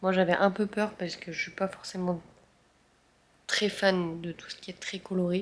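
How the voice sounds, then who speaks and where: At a moderate pace, a woman speaks at a medium pitch in a monotone, flat way, with long, frequent pauses. Her loudness swings widely, and there is noticeable background noise. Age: 20s. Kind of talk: casual vlog. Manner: hesitant, many fillers.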